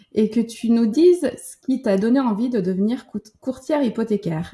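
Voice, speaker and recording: Somewhat breathy and dark, mellow in tone, a woman speaks at a fairly slow pace with a fairly high pitch and ordinary pitch variation. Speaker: podcast host. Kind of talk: interview; scripted introduction.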